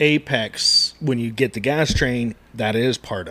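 Very slowly and with ordinary pitch variation, a man talks against noticeable background noise. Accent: American. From US West, Reno, Nevada. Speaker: barbecue podcast co-host and smoker builder. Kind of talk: casual chat.

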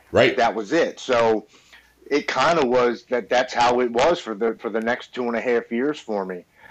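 Speaking at a moderate pace, a man with an American accent has a medium pitch, ordinary pitch variation and an ordinary speaking voice. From Baltimore, Maryland, US. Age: 40s. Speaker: military veteran in recovery. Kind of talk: testimony.

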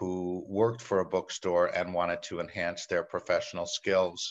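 The sound is dry and close with no echo, against a quiet background. A man with a New York accent speaks at a moderate pace. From New York City. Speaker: meeting planner. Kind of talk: casual interview chat.

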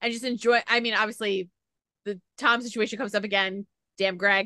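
A woman speaks in a plain, everyday voice at a fairly high pitch. Her intonation is fairly even, and the sound is dry and close with no echo. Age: 30s. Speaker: podcast host. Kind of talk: casual interview chat.

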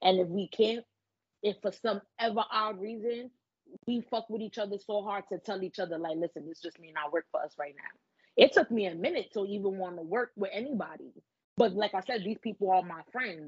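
A woman in a New York accent, medium pitch, fairly quick pace, big swings in loudness and ordinary pitch variation. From the Bronx, New York. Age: 20s. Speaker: adult content creator. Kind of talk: casual chat.

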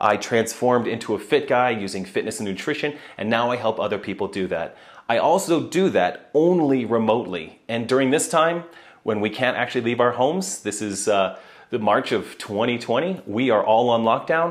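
A man speaks at a moderate pace with lively intonation and a medium pitch. He has a plain, everyday voice. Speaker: podcast host and CrossFit athlete. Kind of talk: casual monologue.

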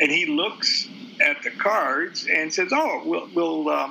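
Noticeable background noise fills the recording. A man does the talking. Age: 70s. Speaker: occult author and teacher. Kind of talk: interview conversation. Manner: halting, frequent fillers and repetitions.

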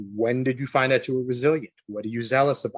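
A man at medium pitch and fairly quick pace, in a plain, everyday voice with an American accent, recorded with a dry, close sound and no echo. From New York. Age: 40s. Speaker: podcast guest. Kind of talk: casual chat.

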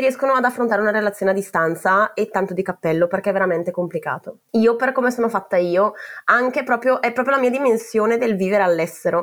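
Ordinary pitch variation at a very fast pace. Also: woman. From northern Italy, Val Camonica (Brescia). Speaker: PhD student, expat. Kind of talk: personal storytelling. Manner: halting, many fillers.

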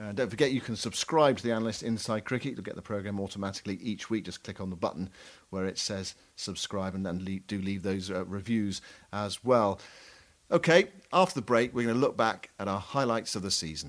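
A man with a plain, everyday voice speaks at a fairly quick pace in a fairly low pitch with ordinary pitch variation, on a very clean recording with a silent background. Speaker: cricket podcast co-host. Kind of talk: casual analytical chat.

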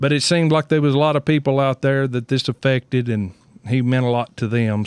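With a Southern US accent, a man talks at a medium pitch with ordinary pitch variation, on a very clean recording with a silent background and a dry, close sound with no echo. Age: 50s. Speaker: podcast co-host, racing team owner. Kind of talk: casual chat. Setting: studio.

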